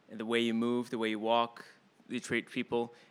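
Captured in a very clean recording with a silent background, a man speaks at a medium pitch with a bright, sharp tone. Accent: American. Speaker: improv company director. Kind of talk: panel discussion. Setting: stage with audience.

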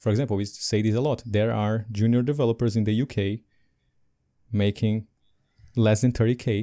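A dark, mellow tone with a non-native accent. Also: man, very clean recording, silent background. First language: not English. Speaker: podcast co-host, software development coach. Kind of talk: casual livestream discussion. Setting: live stream on video. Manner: animated, laughs often.

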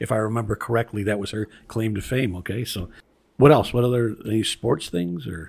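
A man with an American accent talks in an ordinary speaking voice, fairly low in pitch with ordinary pitch variation. His pace is fairly quick, and the recording is very clean with a silent background. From Chicago area, Illinois. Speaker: podcast host, history museum board president. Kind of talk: casual chat.

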